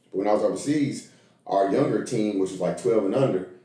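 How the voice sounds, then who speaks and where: Fairly quick talking from a man, with room echo audible. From Tennessee (Nashville). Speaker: college basketball coach. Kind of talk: podcast interview.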